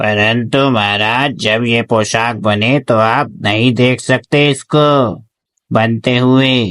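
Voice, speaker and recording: In a cartoonish character voice, a man talks very slowly at medium pitch, keeping his loudness very even. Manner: flattering.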